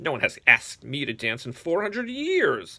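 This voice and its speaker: A man does a put-on character voice, high-pitched, shrill and cackling. He keeps a moderate pace. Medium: read story.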